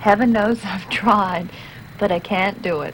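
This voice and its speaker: Talking at a fairly slow pace, a woman is heard through noticeable background noise. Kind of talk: scripted film testimonial.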